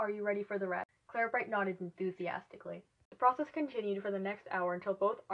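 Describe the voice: Pitch moves in an ordinary way through this plain reading aloud.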